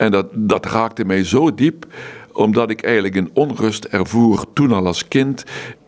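Over noticeable background noise, a man speaks at a fairly slow pace in a medium pitch with ordinary pitch variation. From Netherlands, Limburg (Maastricht). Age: 70s. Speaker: monk. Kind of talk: interview. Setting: monastery.

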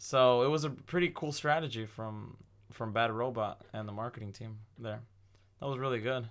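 A plain, everyday voice at a moderate pace, with ordinary pitch variation. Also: man, medium pitch for a man. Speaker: podcast host. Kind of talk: casual chat.

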